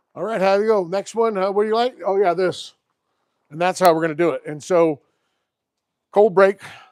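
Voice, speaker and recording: A man with a high pitch speaks loudly at a fairly quick pace, with long, frequent pauses, ordinary pitch variation, and a dry, close sound with no echo. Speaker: classic car YouTuber. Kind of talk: live stream chat. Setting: outdoors.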